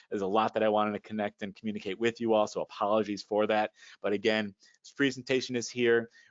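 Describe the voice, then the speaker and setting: A man talks at a very fast pace in a fairly low pitch, with monotone, flat intonation. His loudness swings widely. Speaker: financial advisor. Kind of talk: presentation.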